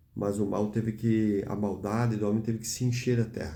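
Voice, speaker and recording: A man speaks with a dark, mellow tone and fairly even intonation. Audible room echo surrounds his voice. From Brazil. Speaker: preacher. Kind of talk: sermon.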